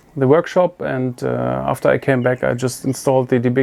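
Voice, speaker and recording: The speaker talks at a moderate pace with a German accent. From Germany. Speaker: motorcycle video creator. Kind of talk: product review. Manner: halting.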